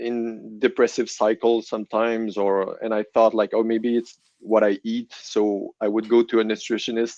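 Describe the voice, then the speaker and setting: The man's French Canadian accent comes through in monotone, flat intonation at a moderate pace with hardly any pauses. The sound is dry and close, with no echo. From Quebec City, Canada. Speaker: guest giving faith testimony. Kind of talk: testimony interview. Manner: halting, many restarts.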